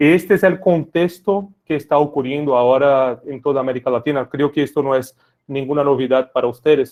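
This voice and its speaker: Speaking with a Brazilian accent, a man with a fairly high pitch keeps a fairly quick pace and fairly even intonation. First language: Portuguese (speaking Spanish). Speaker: tech sales lead for public sector. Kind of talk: webinar presentation.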